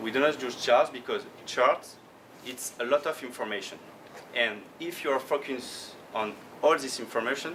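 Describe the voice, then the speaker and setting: A man with a French accent at a medium pitch, fairly even intonation, and noticeable background noise. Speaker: professional trader. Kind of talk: conference talk. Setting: conference stage. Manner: slow; halting.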